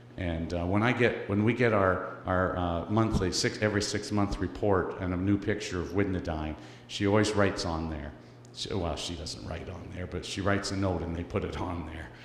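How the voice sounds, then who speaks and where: Audible room echo carries a man's very deep, low, somewhat breathy voice at a moderate pace. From Canada. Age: 60s. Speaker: missionary speaker for orphan charity. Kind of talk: church presentation. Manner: halting, many fillers.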